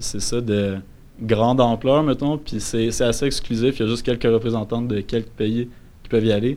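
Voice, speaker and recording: The man has a medium pitch and a normal speaking voice. He talks at a moderate pace with fairly even intonation. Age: 20s. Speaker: forestry student. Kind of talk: casual chat.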